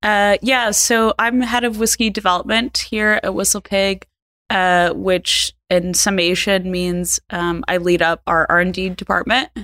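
A woman speaks in an unremarkable speaking voice at a medium pitch with ordinary pitch variation and a fairly slow pace. The recording is very clean, with a silent background. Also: very even loudness. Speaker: whiskey distiller. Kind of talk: interview conversation. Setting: on-site at distillery farm.

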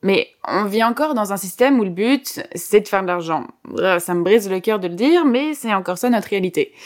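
On a very clean recording with a silent background, a woman with an unremarkable speaking voice talks at a fairly quick pace in a medium pitch with lively intonation. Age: 20s. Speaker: climate activist and podcast co-host. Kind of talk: scripted podcast chat.

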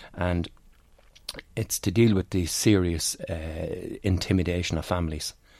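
A man speaks with an Irish accent in a very deep, dark, mellow voice. His pace is fairly slow and his intonation fairly even. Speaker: senior police officer. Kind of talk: radio interview. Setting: studio. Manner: halting.

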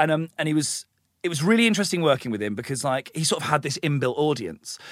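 A man with an English accent talks very fast in a fairly high pitch. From England, small town. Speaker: comedian and TV presenter. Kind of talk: casual interview chat. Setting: podcast studio.

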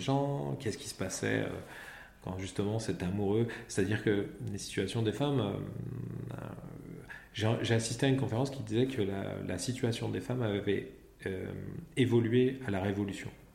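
A man's fairly low voice with audible room echo. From Paris region, France. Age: 40s. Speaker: comic book author. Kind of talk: interview. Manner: halting, repeats words.

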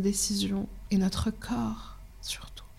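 Speaking very slowly, a woman has a fairly high pitch, a dark, mellow tone and a somewhat breathy quality. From Morocco. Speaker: documentary filmmaker. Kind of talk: casual interview.

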